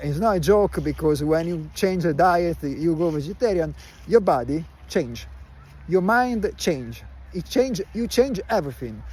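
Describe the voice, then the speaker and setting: In an Italian accent, a man speaks at a fairly slow pace. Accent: Italian accent, listeners remark on it. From Italy. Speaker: vlogger. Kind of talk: casual live stream chat. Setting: outdoors in a park. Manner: slow, halting with many fillers.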